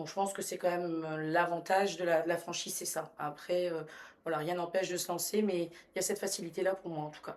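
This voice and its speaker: With a fairly low pitch and a flat, monotone delivery, a woman talks at a fairly quick pace while her loudness swings widely. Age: 40s. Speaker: restaurant franchise owner. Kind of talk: podcast interview.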